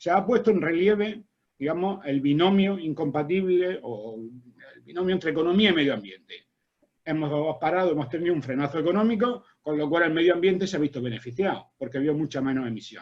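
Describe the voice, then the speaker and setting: Lively intonation marks a man who talks at a fairly quick pace with a fairly high pitch. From Spain. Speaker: agronomist and university researcher. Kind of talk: academic seminar talk. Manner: fast.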